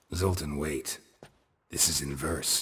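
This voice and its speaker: A put-on, raspy character voice from a man, very deep and low in pitch. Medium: video game. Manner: terse, flat, low-key.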